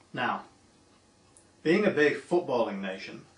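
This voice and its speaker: A man at a moderate pace with lively intonation, amid audible room echo and noticeable background noise. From northern England, Manchester. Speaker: steel industry association director. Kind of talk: prepared video greeting.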